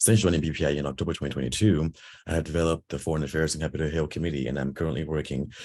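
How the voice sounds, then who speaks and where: Vocal fry marks a man's speech at a very fast pace. His pitch variation is ordinary. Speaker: board election candidate. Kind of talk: campaign speech.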